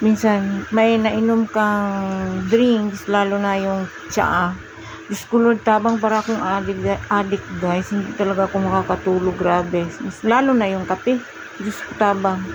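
The speaker talks at a fairly slow pace with a monotone, flat intonation. Noticeable background noise runs underneath. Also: woman, medium pitch for a woman. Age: 40s. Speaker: vlogger. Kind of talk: casual workout vlog.

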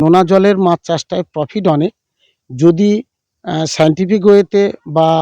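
A man speaks in a high pitch with a dark, mellow tone, ordinary pitch variation and big swings in loudness, the sound dry and close with no echo. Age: 60s. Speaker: fish farmer. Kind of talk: interview. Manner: halting.

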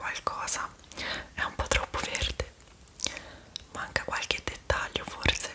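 A woman whispers very slowly in a gentle tone. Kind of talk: roleplay addressed to viewer, soft and casual. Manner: soft, gentle ASMR murmur. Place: home room. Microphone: phone near.

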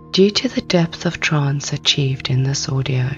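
A woman's voice with music in the background. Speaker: hypnotherapist. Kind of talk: sleep hypnosis. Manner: slow, soft-spoken.

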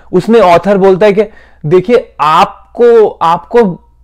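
Against a quiet background, a man with a high pitch and a Bengali accent speaks with lively intonation. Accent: Bengali accent in Hindi. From India, Bengal. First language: Bengali (speaking Hindi). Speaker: YouTuber, hospitality professional; YouTuber. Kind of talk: casual vlog monologue. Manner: halting. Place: home room. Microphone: lapel.

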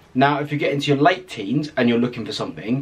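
This man has a fairly high pitch and speaks with an English accent. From England. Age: 20s. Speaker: YouTuber, psychology student. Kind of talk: casual vlog monologue. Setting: home video recording. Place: home room.

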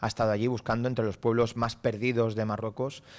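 Speaking at a very fast pace, a man holds a fairly low pitch in a flat, monotone delivery. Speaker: mayor. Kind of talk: live radio interview answering students. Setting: council chamber, live broadcast. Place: hall. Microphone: podium.

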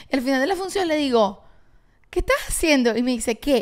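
A woman with a Venezuelan accent talks very fast over a quiet background. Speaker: podcast co-host and actress; podcast co-host, actress. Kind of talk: casual chat. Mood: amused, storytelling with quoted dialogue. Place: home room. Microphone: handheld.

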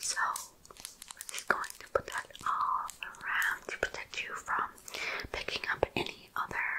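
The speaker is a woman. Her words come out in a whisper. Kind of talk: soft role-play talk to viewer. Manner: soft, intimate ASMR voice close to microphone. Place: home room. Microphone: studio mic.

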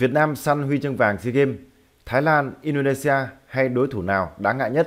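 Moderate pace and ordinary pitch variation in a plain, everyday voice. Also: man. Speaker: football news presenter. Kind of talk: news reading. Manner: formal.

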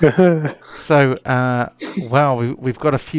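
Someone reads the text aloud in a natural voice.

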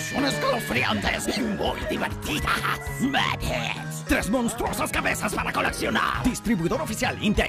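With clear music behind him, the man speaks fairly slowly. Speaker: voice actor. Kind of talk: TV commercial read. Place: booth. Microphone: studio mic.

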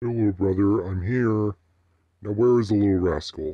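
In a put-on character voice, the speaker talks at a moderate pace. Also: man, fairly low pitch for a man. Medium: dub. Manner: playful, casual.

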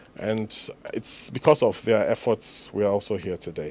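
A man's fairly low voice has a dark, mellow tone, and the sound is dry with no echo. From Ghana. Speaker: entrepreneur; guest. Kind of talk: radio interview. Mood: relaxed, storytelling. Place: studio. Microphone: studio mic.

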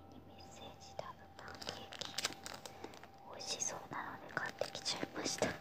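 Whispering, a woman speaks at a fairly quick pace. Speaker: shopping haul vlogger. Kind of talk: casual talk to camera. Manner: whispered, quiet. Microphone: phone near.

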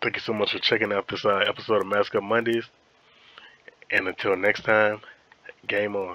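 A man puts on a raspy character voice with a fairly low pitch and monotone, flat intonation. He speaks at a moderate pace, with long, frequent pauses. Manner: talking with candy in the mouth.

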